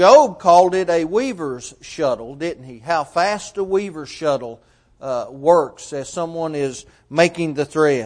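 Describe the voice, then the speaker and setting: A man with an ordinary speaking voice, fairly high pitch and lively intonation, at a fairly slow pace over a quiet background. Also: big swings in loudness. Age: 40s. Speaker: preacher. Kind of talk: sermon.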